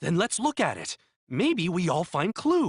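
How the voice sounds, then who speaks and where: A put-on character voice, growling at a middle pitch and a moderate pace. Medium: video game. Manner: broken grammar, earnest.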